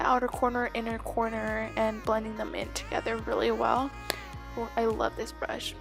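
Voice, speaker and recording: Moderately paced speech from a woman, backed by music. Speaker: beauty vlogger. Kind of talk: makeup tutorial voice-over. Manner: soft, near whisper.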